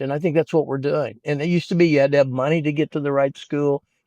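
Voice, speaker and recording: Speaking very fast with an American accent, a man has a fairly high pitch and a dark, mellow tone, recorded dry and close with no echo against a quiet background. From Kansas, US Midwest. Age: 70s. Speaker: sports agent and educator. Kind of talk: interview conversation. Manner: animated.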